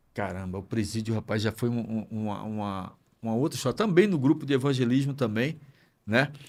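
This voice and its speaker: An ordinary speaking voice from a man, fairly quick, with ordinary pitch variation. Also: medium pitch for a man. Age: 60s. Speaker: pastor. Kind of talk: podcast interview.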